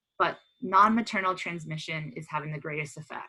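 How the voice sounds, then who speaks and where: In an American accent, a woman talks at a moderate pace. Her voice has a very deep, low pitch and a bright, sharp tone. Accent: American, similar to US listeners. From US, Pennsylvania (Pottstown). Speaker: dolphin researcher. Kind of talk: lecture; casual talk about own life path. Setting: webinar video call.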